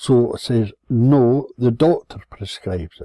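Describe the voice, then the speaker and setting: A man with a medium pitch and a somewhat breathy voice is heard in a dry, close sound with no echo. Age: 70s. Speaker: vlogger telling personal complaint. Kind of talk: personal rant. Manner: sardonic storytelling.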